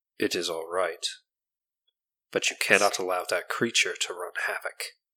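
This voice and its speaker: Using a put-on character voice, a woman speaks at a moderate pace with a very deep, low pitch. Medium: actual play.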